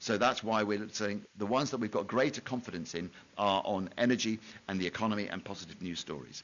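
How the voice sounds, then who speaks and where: A man speaks at a very fast pace. His voice is fairly low, with ordinary pitch variation. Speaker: researcher presenting at a conference. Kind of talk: conference talk.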